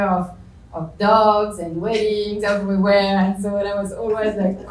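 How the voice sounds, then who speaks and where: A medium-pitched, somewhat breathy woman's voice in audible room echo. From France. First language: French. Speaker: business panelist. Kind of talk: panel discussion. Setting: lecture hall with audience.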